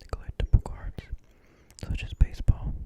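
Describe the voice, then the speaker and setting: The speaker whispers at a moderate pace. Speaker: ASMR content creator. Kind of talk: whispered reading aloud, close-up ASMR. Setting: close-mic recording with a desktop condenser microphone.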